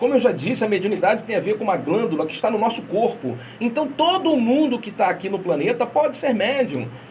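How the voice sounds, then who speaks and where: The speaker talks at a fairly quick pace with an animated tone and hardly any pauses. Noticeable background noise runs underneath. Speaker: radio host of spiritist program. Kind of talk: radio talk on spirituality. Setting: radio studio, streamed live. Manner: fast.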